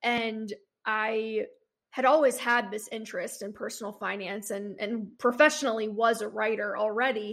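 Recorded very cleanly against a silent background, a normal speaking voice moves at a moderate pace with fairly even intonation. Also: woman, fairly high pitch for a woman. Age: 20s. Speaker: personal finance blogger. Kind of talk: casual interview chat.

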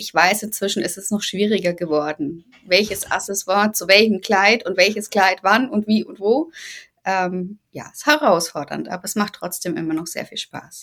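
With an unremarkable speaking voice, a woman talks at a moderate pace in a medium pitch, with ordinary pitch variation and big swings in loudness. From Bavaria, Germany. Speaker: novelist. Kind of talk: interview.

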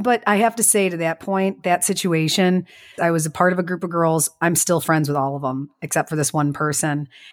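A woman with a strong Chicago accent and a fairly low pitch talks at a fairly quick pace with ordinary pitch variation, in a dry, close sound with no echo and a very clean recording with a silent background. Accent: strong Chicago Midwest. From Chicago western suburbs, US Midwest. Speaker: podcast co-host and business owner. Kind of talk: casual chat.

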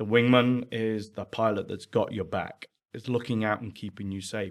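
Fairly low in pitch with ordinary variation, a man speaks with an English accent. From England. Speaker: charity founder. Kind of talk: casual interview.

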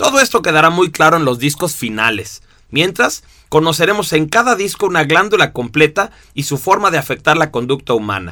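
A man speaks fairly quickly in a fairly high pitch with very wide pitch swings. His tone is bright and sharp, with vocal fry. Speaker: instructor. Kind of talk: recorded lesson. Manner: expressive.

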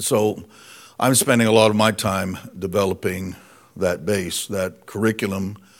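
This is a normal speaking voice, a man with an American accent and fairly low pitch. He keeps a moderate pace and fairly even intonation. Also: very clean recording, silent background. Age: 60s. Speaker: guest preacher. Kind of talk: sermon.

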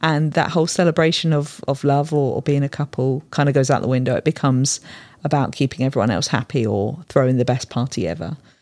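In a very clean recording with a silent background, a woman with a British accent speaks at a very fast pace, her pitch very deep and low, with ordinary variation. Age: 40s. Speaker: photographer. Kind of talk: casual chat.

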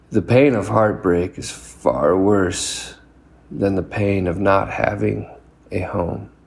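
There is noticeable background noise behind the voice. A man speaks at a very slow pace. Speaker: poet. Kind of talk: poetry reading, performed poem. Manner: earnest, confessional; rhythmic, rhyming cadence, repeated refrain.

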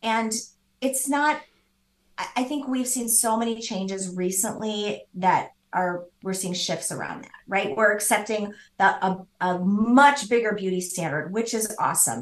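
With an American accent, a woman in a normal speaking voice talks at a fairly slow pace, her pitch fairly high with ordinary variation and her loudness swinging widely. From US Midwest. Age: 50s. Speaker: business founder. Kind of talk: interview.

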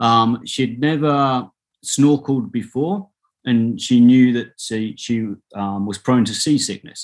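Using a British accent, a man speaks at a very slow pace with medium pitch and ordinary pitch variation. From UK. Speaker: social entrepreneur. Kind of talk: interview. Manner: halting, many repetitions and fillers.

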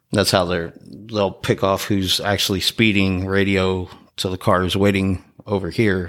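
A very deep, low man's voice in a Texan accent, fairly slow and monotone with flat intonation, on a very clean recording with a silent background. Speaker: podcast host, EMT. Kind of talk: casual chat.

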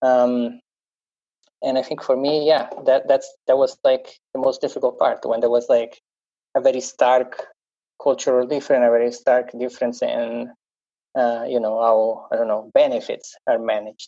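A man with an Italian accent speaks at a moderate pace. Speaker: support leader panelist. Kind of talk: panel discussion.

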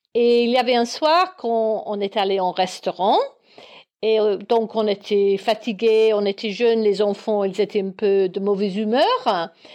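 Against a quiet background, a woman with a fairly high pitch talks at a fairly slow pace in an English accent. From Northern Ireland, Belfast. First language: English (speaking French). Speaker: guest. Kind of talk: casual chat.

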